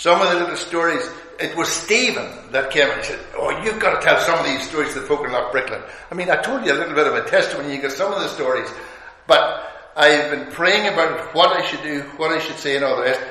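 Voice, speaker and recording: Audible room echo surrounds this speaker, a man. He talks very fast, high-pitched, with ordinary pitch variation. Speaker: visiting preacher. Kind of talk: sermon. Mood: warm, good humoured. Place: hall.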